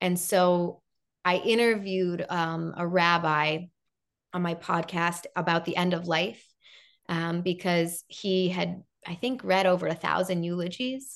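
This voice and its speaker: With an American accent, a woman talks at a fairly slow pace in a plain, everyday voice, her pitch fairly low, against a quiet background. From Chicago, US Midwest. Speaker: television host and interviewer. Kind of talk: interview guest, casual chat.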